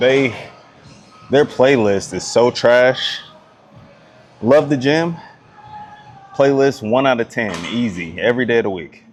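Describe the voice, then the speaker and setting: Against music in the background, a man with an American accent speaks at a fairly slow pace and medium pitch, with ordinary pitch variation and long, frequent pauses. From US South. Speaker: fitness vlogger. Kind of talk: casual workout vlog. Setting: gym. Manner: casual, slangy.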